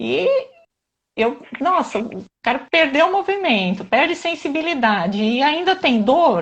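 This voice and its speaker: The pace is very slow. Pitch swings are very wide. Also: woman. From southern Brazil, Santa Catarina. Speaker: physiotherapist. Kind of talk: live stream interview.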